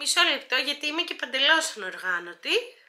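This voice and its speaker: A woman's raised, projected voice, high in pitch, with very wide pitch swings. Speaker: YouTuber. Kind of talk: Q&A vlog. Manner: hesitant, many filler sounds.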